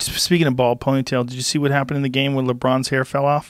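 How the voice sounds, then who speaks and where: With noticeable noise in the background, a man delivers his words in an animated tone. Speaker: comedian. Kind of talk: stand-up comedy roast with scripted punchline jokes and clip inserts. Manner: animated, rapid-fire joke delivery with punchy setups.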